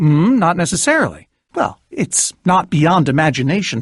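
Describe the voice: A man puts on a character voice, fairly high in pitch with big swings and a slightly husky edge, at a moderate pace on a very clean recording with a silent background.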